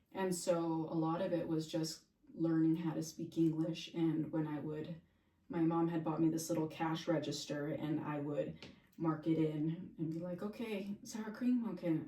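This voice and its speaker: A woman's fairly low voice at a moderate pace with ordinary pitch variation, in audible room echo. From Santa Fe, New Mexico, with part of childhood in Mexico. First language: Spanish. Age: 30s. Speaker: realtor. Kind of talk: casual interview chat.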